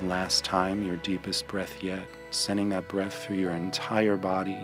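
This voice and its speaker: A man speaks at a very deep, low pitch with ordinary pitch variation. His pace is fairly slow, with music in the background. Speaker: meditation guide. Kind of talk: guided meditation.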